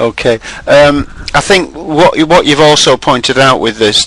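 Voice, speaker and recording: A man at a fairly slow pace with ordinary pitch variation, amid noticeable background noise. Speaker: webinar host. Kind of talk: webinar discussion. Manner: loud.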